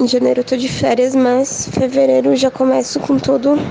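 A woman's moderate pace against noticeable background noise. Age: 20s. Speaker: technical writer. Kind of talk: testimony.

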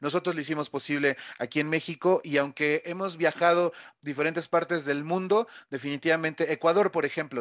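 In an ordinary speaking voice, a man talks at a moderate pace with fairly even intonation, a dry, close sound with no echo, and a very clean recording with a silent background. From Mexico City. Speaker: DJ and radio host. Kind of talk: casual interview.

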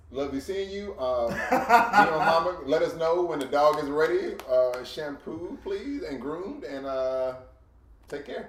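Noticeable background noise sits under a man speaking at a fairly slow pace. His fairly high voice has lively intonation and big swings in loudness. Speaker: podcast co-host. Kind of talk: casual chat.

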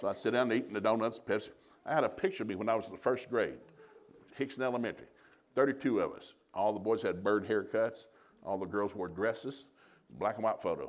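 Talking very fast yet leaving long, frequent pauses, a man with a Southern US accent uses ordinary pitch variation. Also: medium pitch for a man. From US South. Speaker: traveling preacher and marriage teacher. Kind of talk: sermon.

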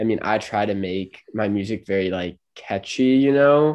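An unremarkable speaking voice, a man at a moderate pace with lively intonation over a quiet background. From Los Angeles, California. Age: 20s. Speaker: singer-songwriter and college student. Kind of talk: casual interview.

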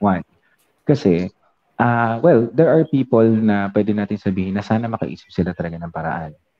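At a moderate pace, a man talks in a fairly low pitch with an unremarkable speaking voice. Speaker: podcast co-host. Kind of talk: casual chat. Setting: live stream.

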